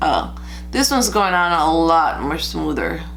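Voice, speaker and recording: Music plays in the background as a woman speaks at a moderate pace. Room echo is audible. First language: Spanish. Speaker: beauty vlogger. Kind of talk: makeup tutorial review. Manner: casual, chatty with fillers.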